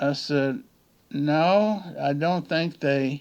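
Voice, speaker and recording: The background is quiet while a man speaks. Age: 70s. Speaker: YouTuber. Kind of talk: casual monologue. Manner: halting.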